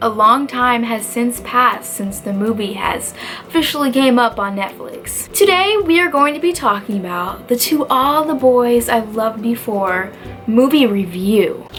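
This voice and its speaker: Quiet and animated in tone, a woman with a high pitch and lively intonation talks at a moderate pace over noticeable background noise. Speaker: book youtuber. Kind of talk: casual video review. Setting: dorm room.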